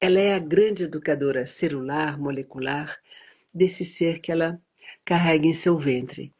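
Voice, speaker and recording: Moderate pacing in a woman's fairly low voice, with normal pitch movement. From United States, educated in Europe. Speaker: prenatal education advocate. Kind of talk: interview. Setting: live stream.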